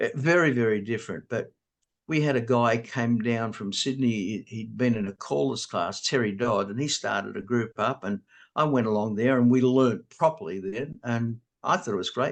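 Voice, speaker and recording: The speaker has an Australian accent and a moderate pace. Pitch variation is ordinary, over a quiet background. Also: man, medium pitch for a man. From Australia, New South Wales. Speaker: square dance caller. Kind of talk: interview. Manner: slightly impaired articulation after stroke.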